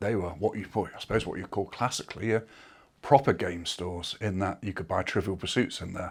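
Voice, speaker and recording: A man speaks at a fairly quick pace with a somewhat breathy voice. The recording is very clean, with a silent background. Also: ordinary pitch variation. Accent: English. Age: 60s. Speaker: former retail executive. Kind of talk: interview. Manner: hesitant, many fillers.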